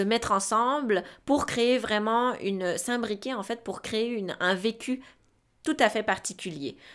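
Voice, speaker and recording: A woman is speaking. The background is quiet. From Switzerland. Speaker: podcast co-host, sexology student; podcast co-host. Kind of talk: casual chat. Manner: halting, many fillers and repetitions. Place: studio. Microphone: studio mic.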